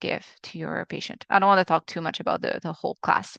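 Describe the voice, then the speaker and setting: Against a quiet background, a woman speaks in a monotone at a fairly low pitch, her voice dry and close with no echo. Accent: Quebec. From Quebec, Canada. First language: French. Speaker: acupuncturist teaching a webinar. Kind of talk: webinar lecture. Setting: live video webinar. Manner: halting, with many fillers.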